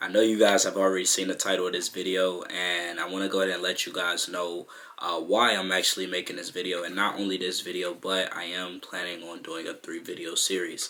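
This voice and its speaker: A man speaks at a very deep, low pitch in a flat monotone, with hardly any pauses. Noticeable background noise runs underneath. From Chicago, South Side. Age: 20s. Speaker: YouTuber. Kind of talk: personal vlog monologue. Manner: casual, many fillers.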